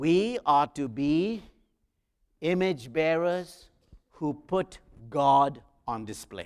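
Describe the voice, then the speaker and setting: Speaking with an Indian accent, a man with a fairly high pitch uses lively intonation at a very slow pace, leaving long, frequent pauses. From South India. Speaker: guest preacher and professor. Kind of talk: sermon. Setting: church.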